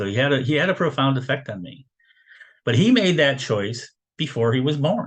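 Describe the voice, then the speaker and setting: His fairly high-pitched, somewhat breathy voice carries lively intonation as the man speaks at a moderate pace. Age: 60s. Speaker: spiritual lecturer, retired military. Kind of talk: spiritual teaching lecture. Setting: video call. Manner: casual, halting with many fillers.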